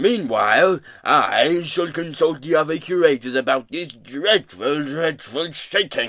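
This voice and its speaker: A man's booming, put-on character voice, fairly high in pitch, with lively intonation, a fairly slow pace and hardly any pauses. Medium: read story. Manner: pompous, fussy.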